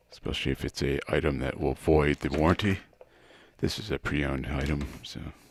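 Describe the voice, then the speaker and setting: Quiet and mumbling, a man speaks fairly quickly in a very deep, low pitch with vocal fry and fairly even intonation, in a dry, close sound with no echo. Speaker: guitar hobbyist YouTuber. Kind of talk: casual tutorial. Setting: garage.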